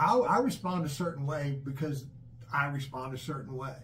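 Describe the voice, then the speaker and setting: A man with a fairly high pitch speaks at a moderate pace. His intonation is fairly even, with audible room echo. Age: 60s. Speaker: father, channel host. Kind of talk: casual chat. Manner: halting, repetitive fillers.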